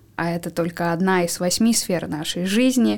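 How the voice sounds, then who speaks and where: A woman's plain, everyday voice at a medium pitch and moderate pace, with ordinary pitch variation, in a very clean recording with a silent background. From Siberia, Russia. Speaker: psychologist. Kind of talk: expert interview.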